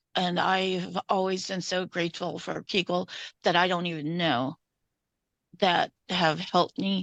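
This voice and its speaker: Over a quiet background, a woman with vocal fry speaks at a fairly slow pace and a medium pitch with ordinary pitch variation, the sound dry and close with no echo. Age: 60s. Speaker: domestic violence survivor. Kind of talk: testimony.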